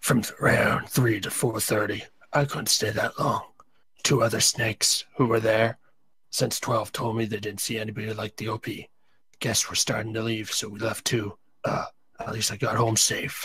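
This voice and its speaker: Using a put-on character voice, the man sounds raspy. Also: medium pitch for a man, moderate pace. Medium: read story. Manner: casual, conversational.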